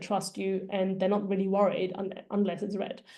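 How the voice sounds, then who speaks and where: A woman with a German accent speaks at a moderate pace in a dark, mellow tone. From Germany. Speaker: data career coach. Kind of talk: presentation.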